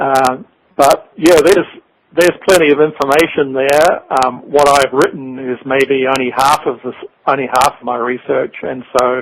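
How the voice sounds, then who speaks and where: A man with a New Zealand accent speaks at a moderate pace, his fairly high pitch held to a fairly even intonation. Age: 60s. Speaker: author. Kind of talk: interview. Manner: halting.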